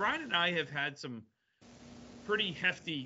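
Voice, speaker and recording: Lively in intonation, a man speaks at a fairly slow pace. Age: 50s. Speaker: bowler, podcast host. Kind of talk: casual chat.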